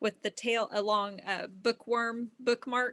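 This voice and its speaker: A woman's fairly high voice comes across flat and monotone, with a dry, close sound and no echo. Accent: Texan. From Texas. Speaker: test knitter. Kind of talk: casual interview chat.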